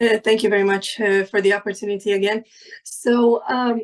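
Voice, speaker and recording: A woman in a Hungarian accent talks at a moderate pace and medium pitch with fairly even intonation. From Hungary. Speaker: insurance professional, panelist. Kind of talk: panel discussion. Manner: halting, many fillers and repeats.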